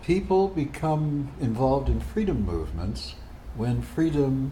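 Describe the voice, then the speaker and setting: Audible room echo surrounds a man with an American accent. His pitch swings very widely. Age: 80s+. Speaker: retired physicist and psychotherapist. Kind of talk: casual monologue to camera.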